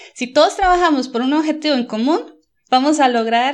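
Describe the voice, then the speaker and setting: A woman speaks at a fairly quick pace in a high voice with lively intonation, against a quiet background. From Costa Rica. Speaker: environmental management consultant. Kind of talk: interview.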